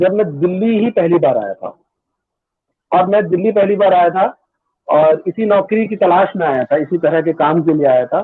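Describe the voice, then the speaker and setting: A man's high-pitched voice, at a moderate pace with ordinary pitch variation. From western Uttar Pradesh, India (Budaun/Bareilly area). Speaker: media professional and poet. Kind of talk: interview, personal story. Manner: hesitant, many fillers.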